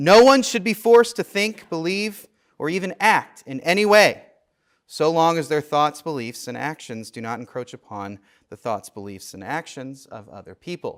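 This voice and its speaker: A Midwestern American accent at a moderate pace, with very wide pitch swings, big swings in loudness, and a very clean recording with a silent background. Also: man, fairly high pitch for a man. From US Midwest, St. Louis. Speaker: theology professor. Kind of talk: lecture.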